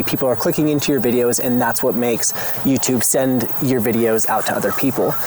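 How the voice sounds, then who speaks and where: Fairly quick speech from a man at medium pitch amid noticeable background noise. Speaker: homesteading YouTuber. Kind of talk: personal vlog monologue. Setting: outdoors in garden. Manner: fast; passionate, animated.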